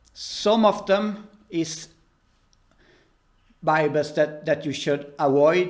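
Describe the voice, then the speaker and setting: Speaking very slowly with a Swedish accent, a man uses a fairly high pitch and ordinary pitch variation, with long, frequent pauses. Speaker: preacher. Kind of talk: religious talk to camera. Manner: halting.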